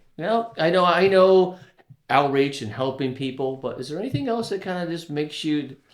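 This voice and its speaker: This man has an ordinary speaking voice with an American accent, pitched fairly high. He talks fairly quickly, his intonation lively. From Florida, Tampa Bay area (Palm Harbor). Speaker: podcast host. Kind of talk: casual interview chat.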